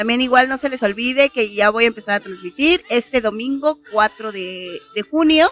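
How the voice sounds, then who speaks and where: A woman's fairly high voice with lively intonation, moderate pace and hardly any pauses, dry and close with no echo, over music in the background. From Mexico City. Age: 40s. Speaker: podcast co-host. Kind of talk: casual chat.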